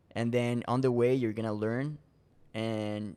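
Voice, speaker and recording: Speaking in a monotone with flat intonation, a man with a Spanish accent has a medium pitch and a dark, mellow tone. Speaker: door-to-door salesman. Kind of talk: podcast interview. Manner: casual, many repetitions and restarts.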